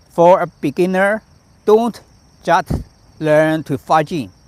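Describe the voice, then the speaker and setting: Speaking with a Chinese accent, a man uses a fairly high pitch at a very slow pace. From China, Shandong Province. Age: 50s. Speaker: tai chi master. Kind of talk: live-stream teaching. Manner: halting, many repetitions.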